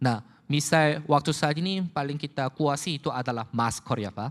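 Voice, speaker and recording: The recording is very clean, with a silent background. A man talks at a moderate pace in a fairly high voice. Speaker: company executive presenter. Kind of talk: corporate presentation. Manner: halting.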